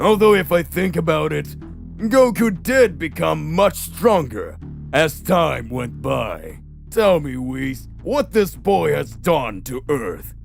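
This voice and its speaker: A man uses a put-on character voice at a fairly slow pace. Music plays clearly in the background. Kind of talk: fan-made comedic parody audio drama. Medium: audio drama. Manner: haughty, dismissive.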